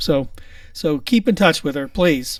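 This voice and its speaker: He has a Pittsburgh accent and a high pitch for a man. His pace is moderate. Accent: Pittsburghese. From Pittsburgh area. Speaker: podcast host. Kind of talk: casual chat.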